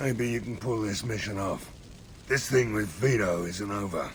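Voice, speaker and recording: A man does a raspy put-on character voice at a moderate pace with ordinary pitch variation. Clear background noise can be heard. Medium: video game. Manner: gruff, blunt.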